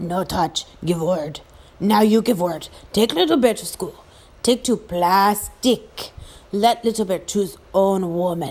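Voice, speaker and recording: Using a put-on character voice at a medium pitch, a woman speaks fairly slowly. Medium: read story. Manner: clipped broken English, blunt.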